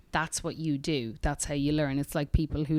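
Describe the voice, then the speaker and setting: Very deep and low in pitch, a woman speaks at a fairly quick pace with fairly even intonation in a very clean recording with a silent background. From Ireland, tiny rural village. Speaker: singer-songwriter. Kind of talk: casual interview chat.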